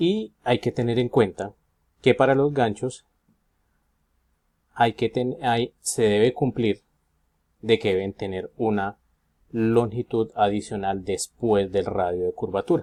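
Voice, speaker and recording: Speaking at a very slow pace with long, frequent pauses, a man has a dark, mellow tone at a medium pitch with ordinary pitch variation, in a very clean recording with a silent background. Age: 40s. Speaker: engineering student. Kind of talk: student presentation. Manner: halting, with fillers.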